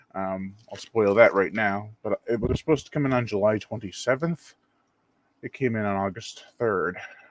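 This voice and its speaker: A quiet man speaks at a moderate pace. His voice is fairly low in pitch, with ordinary variation. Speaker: horror film channel host. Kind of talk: live unboxing video. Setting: at home, someone in the next room. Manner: quiet, hushed.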